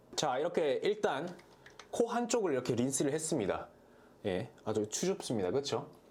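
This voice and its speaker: A man with a fairly high pitch and vocal fry talks at a moderate pace, his pitch swinging very widely while his loudness stays very even. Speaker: product review vlogger. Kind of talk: product review tutorial. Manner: casual, animated.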